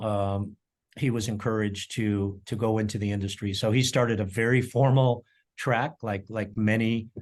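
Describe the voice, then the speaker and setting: A man speaks in an American accent at a fairly low pitch. His intonation is monotone and flat, over a quiet background. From Colorado, US. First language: German. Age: 60s. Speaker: chef and culinary educator. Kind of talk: interview. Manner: halting, many fillers and repeats.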